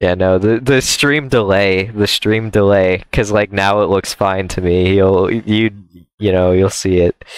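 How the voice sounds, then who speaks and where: In a plain, everyday voice, a man talks at a fairly slow pace with fairly low pitch and very even loudness. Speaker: gaming streamer. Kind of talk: casual chat.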